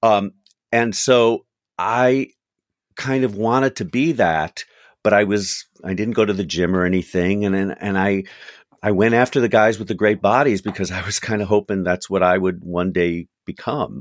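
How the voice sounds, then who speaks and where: This man has a fairly low pitch and ordinary pitch variation, talking at a moderate pace. The recording is very clean, with a silent background. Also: dry, close sound with no echo. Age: 60s. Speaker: actor and author. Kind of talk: casual interview chat. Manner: even-toned and calm.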